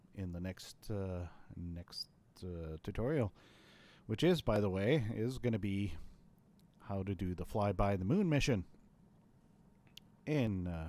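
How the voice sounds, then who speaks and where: In a very clean recording with a silent background, a man with a very deep, low pitch and a dark, mellow tone speaks at a fairly slow pace with lively intonation and long, frequent pauses. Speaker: gaming tutorial youtuber. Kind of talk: tutorial. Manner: halting, stuttering; casual, rambling with fillers.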